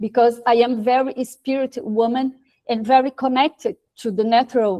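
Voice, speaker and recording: A woman with a Portuguese accent speaks at a high pitch in a dark, mellow tone. Her moderate pace and fairly even intonation come through dry and close, with no echo. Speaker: social entrepreneur, institute president. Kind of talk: question at online panel event. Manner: halting, hesitant.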